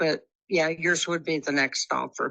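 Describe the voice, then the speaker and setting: A woman's bright, sharp tone, very deep and low in pitch, with a Texas accent, fairly even intonation and a moderate pace. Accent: Texas Southern. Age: 70s. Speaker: home seller. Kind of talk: phone conversation.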